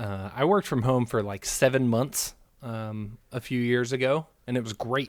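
A man's unremarkable speaking voice at medium pitch, moderate in pace with ordinary pitch variation, on a very clean recording with a silent background. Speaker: podcast co-host. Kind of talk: casual sports chat.

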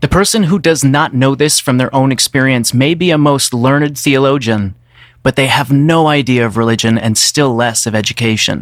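A man with a normal speaking voice, medium pitch, ordinary pitch variation, a moderate pace, and very even loudness. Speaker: podcast co-host. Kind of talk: casual reflective conversation.

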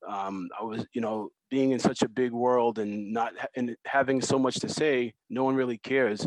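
A man with an unremarkable speaking voice talks at a moderate pace with fairly even intonation. The sound is dry and close with no echo, against a quiet background. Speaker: muralist and designer. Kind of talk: panel discussion interview.

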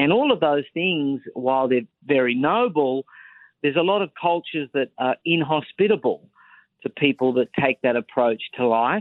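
A man with an Australian accent talks at a fairly high pitch and a moderate pace. His intonation is lively and his loudness very even. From Australia, Sydney. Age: 30s. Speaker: political commentator and author. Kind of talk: interview. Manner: formal.

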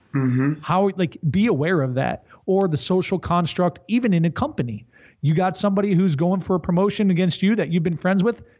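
A man's high-pitched voice at a fairly quick pace, with lively intonation and very even loudness. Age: 30s. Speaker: strength coach and company executive. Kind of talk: casual chat.

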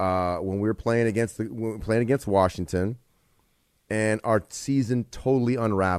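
Over a quiet background, a man speaks in an ordinary speaking voice, fairly low in pitch with ordinary pitch variation. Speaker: former football player, analyst. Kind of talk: casual sports talk radio discussion. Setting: radio studio.

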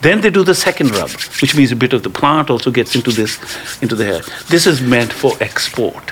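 Amid noticeable background noise, a medium-pitched man talks at a fairly quick pace with very wide pitch swings. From India. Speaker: cannabis advocate and film director. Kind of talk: storytelling interview.

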